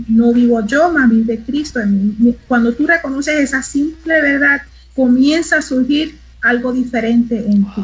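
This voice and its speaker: A woman with a high-pitched voice speaks at a fairly slow pace, her pitch varying in an ordinary way. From Puerto Rico (Mayagüez). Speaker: arts minister. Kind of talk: casual chat. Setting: live stream.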